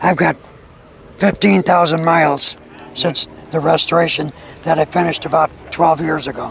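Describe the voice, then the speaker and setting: Over noticeable background noise, a man with a fairly high pitch speaks at a moderate pace with fairly even intonation and long, frequent pauses. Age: 80s+. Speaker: car restorer. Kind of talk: casual interview.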